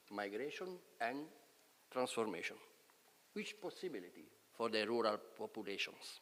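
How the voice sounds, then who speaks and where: With an Italian accent, a man talks at a moderate pace and a medium pitch, his intonation lively, leaving long, frequent pauses. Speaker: professor. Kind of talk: lecture.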